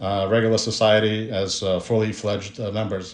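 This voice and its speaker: A man talks very fast in a fairly low, monotone, flat voice. The room echo is audible, and there is noticeable background noise. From Brooklyn, New York (immigrated from Ukraine at 13). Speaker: personal injury lawyer. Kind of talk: personal story, promotional talk. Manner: hesitant, many fillers.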